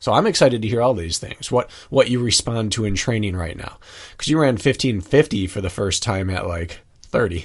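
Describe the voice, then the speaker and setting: Against a quiet background, a man with a plain, everyday voice and medium pitch talks at a fairly quick pace with ordinary pitch variation. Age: 30s. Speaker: podcast co-host and runner. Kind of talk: casual chat.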